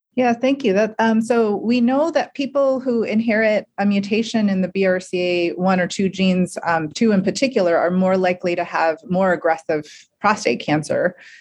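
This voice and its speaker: Using a plain, everyday voice, a woman talks at a moderate pace and medium pitch, with ordinary pitch variation, very even loudness and hardly any pauses. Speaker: medical oncologist. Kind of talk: educational podcast interview.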